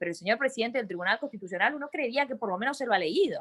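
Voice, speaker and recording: The woman speaks fairly high, her pitch swinging very widely. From Argentina. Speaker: lawyer and university lecturer. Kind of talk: webinar discussion.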